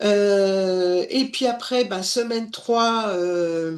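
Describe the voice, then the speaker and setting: Lively intonation from a woman at a medium pitch. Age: 60s. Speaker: former industry manager, course student. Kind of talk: testimonial. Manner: hesitant, many fillers.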